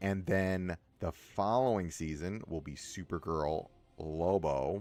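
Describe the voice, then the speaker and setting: His pitch is very deep and low, with ordinary variation. The man speaks at a very slow pace. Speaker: gaming streamer. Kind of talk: livestream gameplay commentary. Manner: casual, rambling with frequent self-interruptions.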